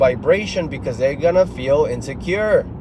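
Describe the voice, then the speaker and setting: In a high voice with a Spanish accent, a man speaks amid noticeable background noise and audible room echo. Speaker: motivational speaker, military veteran. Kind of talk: motivational monologue. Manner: animated.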